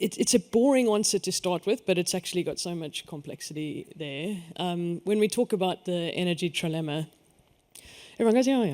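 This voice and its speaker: On a very clean recording with a silent background, a man with a South African accent speaks fairly quickly at a high pitch with ordinary pitch variation, the sound dry and close with no echo. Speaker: energy network executive. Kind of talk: panel discussion.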